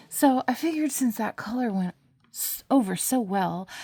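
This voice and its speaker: With lively intonation, a woman speaks at a fairly slow pace on a very clean recording with a silent background. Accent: American. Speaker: nail polish beauty vlogger. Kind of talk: casual talk to camera. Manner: confrontational, sarcastic.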